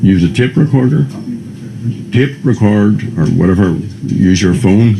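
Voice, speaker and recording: Over noticeable background noise and audible room echo, a man with a Northern Irish accent speaks at a very deep, low pitch with lively intonation. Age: 70s. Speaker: republican activist. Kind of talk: documentary interview. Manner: halting.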